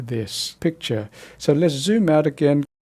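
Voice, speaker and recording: At a fairly slow tempo, this somewhat breathy voice has a dark, mellow tone and ordinary pitch variation. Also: man. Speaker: photoshop tutorial presenter. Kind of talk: tutorial.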